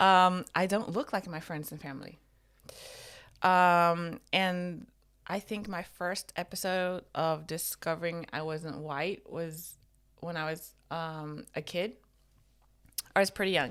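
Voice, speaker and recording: A woman with an American accent, fairly low in pitch, with fairly even intonation, a very slow pace, and long, frequent pauses, on a very clean recording with a silent background. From Norway, early childhood in Atlanta. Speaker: podcast co-host. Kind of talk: casual chat.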